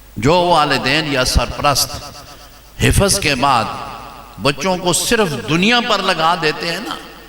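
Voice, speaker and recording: A man with a fairly high voice speaks with lively intonation, with audible room echo and noticeable background noise. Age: 70s. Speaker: Islamic scholar. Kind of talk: sermon.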